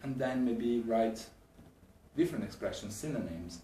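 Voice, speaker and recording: With an Italian accent, a man talks at a fairly quick pace amid audible room echo. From Italy. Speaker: English language teacher. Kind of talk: talk to camera.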